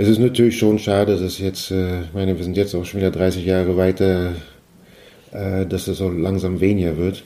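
This man's voice is very deep and low, with a dark, mellow tone. He talks at a moderate pace with monotone, flat intonation. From East Germany, Mecklenburg and Brandenburg (Greifswald, Frankfurt an der Oder). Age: 50s. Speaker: trained horticultural worker recalling the fall of the Wall. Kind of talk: interview testimony. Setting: at the host's home.

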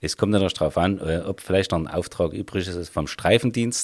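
The recording is very clean, with a silent background. A man speaks at a moderate pace in a very deep, low pitch. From Vogtland, Saxony. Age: 50s. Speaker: police officer. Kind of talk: interview.

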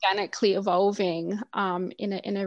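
A woman speaks at medium pitch with an Australian accent. The background is quiet. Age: 30s. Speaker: doula and postpartum food business founder. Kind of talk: interview chat.

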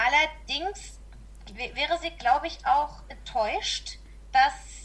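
The speech comes at a very slow pace, with noticeable background noise behind it. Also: woman. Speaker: podcast guest. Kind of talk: casual chat.

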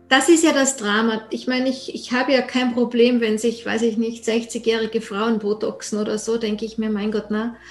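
A moderate pace and fairly even intonation, set against noticeable background noise. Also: woman, fairly high pitch for a woman. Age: 50s. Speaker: podcast host. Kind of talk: scripted intro and outro; interview. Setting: video call.

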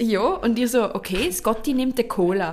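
The speaker has a Swiss accent, with noticeable background noise in the recording. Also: woman. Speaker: podcast co-host. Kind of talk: casual chat. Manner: animated, laughing.

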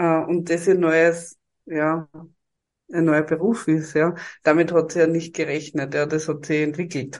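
Over a quiet background, a woman with a very deep, low voice speaks fairly slowly in a flat monotone, leaving long, frequent pauses. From Styria, Austria. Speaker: HR professional and podcaster. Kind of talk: interview.

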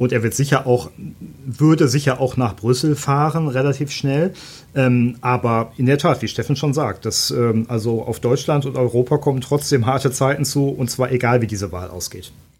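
A man speaks at a medium pitch and a moderate pace. His voice is somewhat breathy, with ordinary pitch variation. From Germany. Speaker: newspaper journalist. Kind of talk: podcast interview. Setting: studio.

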